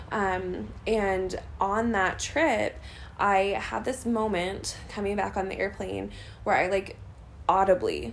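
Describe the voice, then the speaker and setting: The room adds audible echo. A woman talks very slowly. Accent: American. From US Midwest, St. Louis, Missouri. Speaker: missionary and nurse. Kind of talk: interview. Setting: apartment, recorded at night.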